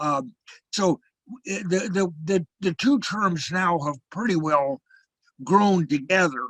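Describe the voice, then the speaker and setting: A man with a high pitch speaks at a very slow pace with long, frequent pauses and ordinary pitch variation, the sound dry and close with no echo. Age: 80s+. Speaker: theatre scholar, professor. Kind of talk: interview. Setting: video call. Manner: halting, many repetitions and fillers.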